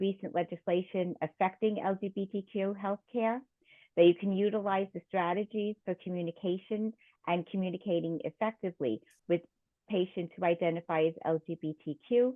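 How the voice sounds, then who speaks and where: A woman's medium-pitched voice with a New York accent, at a fairly quick pace. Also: fairly even intonation. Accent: New York (Queens) accent, still noticeable. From Queens, New York City. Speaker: nurse and risk management consultant presenting. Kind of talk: lecture. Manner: frequent filler ums.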